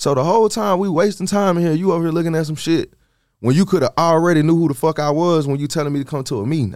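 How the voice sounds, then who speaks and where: A man with an American accent, very fast pace, fairly high pitch and ordinary pitch variation, in a very clean recording with a silent background. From US South, Georgia (Stone Mountain, east Atlanta). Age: 30s. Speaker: rapper. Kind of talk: casual chat.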